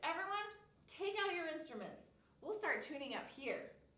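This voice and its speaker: A squeaky, put-on character voice talks at a moderate pace. A slight echo is present. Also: woman, extremely high pitch for a woman. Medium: read story. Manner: polite, fretful.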